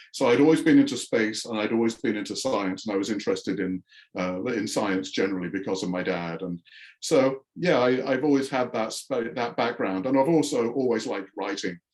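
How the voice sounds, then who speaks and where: Speaking at a fairly quick pace, a man with a slight English accent uses ordinary pitch variation. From northern England, Yorkshire. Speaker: astrophysicist and sci-fi author. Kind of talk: interview.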